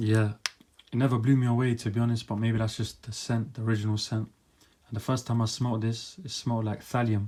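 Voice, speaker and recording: In a dark, mellow, somewhat breathy tone, a man at medium pitch speaks very fast with monotone, flat intonation. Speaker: fragrance reviewer. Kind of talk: product review monologue.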